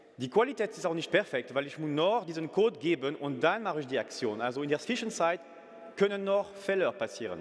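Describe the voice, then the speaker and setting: Speaking with a French accent, a man uses a high pitch and very wide pitch swings. His pace is fairly quick, and there is noticeable background noise. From France. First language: French (speaking German). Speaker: company CEO. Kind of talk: business pitch. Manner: halting, with fillers and self-corrections.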